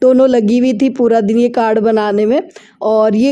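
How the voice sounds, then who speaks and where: A woman's fairly high-pitched, dark, mellow voice with fairly even intonation. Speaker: vlogger, homemaker. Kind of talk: voice-over narration.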